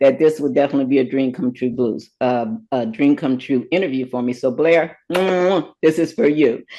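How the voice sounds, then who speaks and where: A woman is speaking. She has an American accent. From Cleveland, Ohio. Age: 70s. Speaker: talk show host. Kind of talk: interview. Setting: video call.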